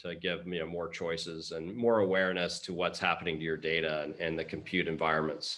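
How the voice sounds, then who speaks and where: A man's very deep, low voice with a bright, sharp tone and a Texas accent, fairly quick with hardly any pauses and monotone, flat intonation. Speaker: open source foundation leader. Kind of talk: Q&A discussion.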